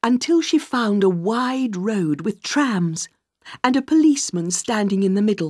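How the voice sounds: A natural reading voice carries lively intonation while the background stays quiet.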